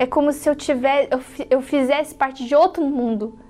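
Fairly even intonation shapes the woman's high-pitched speech. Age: 20s. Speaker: church member. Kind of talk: testimony.

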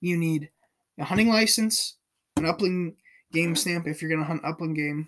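Heard on a very clean recording with a silent background, the speaker uses an American accent, fairly even intonation and a moderate pace, with long, frequent pauses. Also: man, high pitch for a man. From California. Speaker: outdoor podcast host, hunter. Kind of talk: solo podcast monologue. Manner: casual with frequent fillers.

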